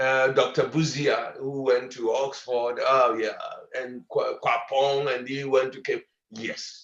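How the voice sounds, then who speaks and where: A man's very slow speech is heard with audible room echo. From Ghana. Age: 70s. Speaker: professor. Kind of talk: lecture. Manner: halting.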